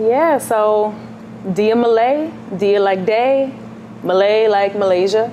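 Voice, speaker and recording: Over noticeable background noise and audible room echo, a woman with an American accent speaks at a very slow pace, leaving long, frequent pauses. Her voice is fairly high, and her loudness stays very even. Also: ordinary pitch variation. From New York City, Queens. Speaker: singer-songwriter. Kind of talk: interview.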